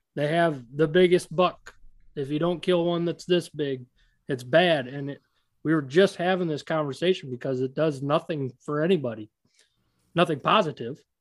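With an American accent, a man has an ordinary speaking voice, fairly high in pitch, with ordinary pitch variation at a moderate pace. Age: 30s. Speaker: podcast host, predator hunter. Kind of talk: casual interview.

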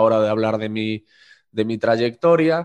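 The man's pitch sits in the medium range. The background is quiet. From Spain, Galicia (Corcubión). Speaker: podcast host and interviewer. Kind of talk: interview conversation. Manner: halting, with frequent repetitions.

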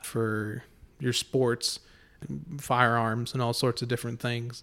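A man's monotone, flat delivery in a very clean recording with a silent background. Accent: American. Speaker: podcast host. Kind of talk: casual chat. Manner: joking, talkative.

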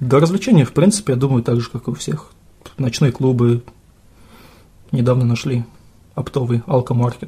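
This man speaks at a moderate pace and a medium pitch, with a slight Russian accent. His intonation is lively, broken by long, frequent pauses. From Russia, Bashkortostan (Sterlitamak). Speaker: English teacher. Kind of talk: casual chat.

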